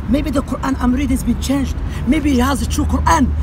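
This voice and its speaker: A man talks fairly quickly. Behind him, background noise is noticeable. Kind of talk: heated street argument, trading insults. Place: street. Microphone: lapel.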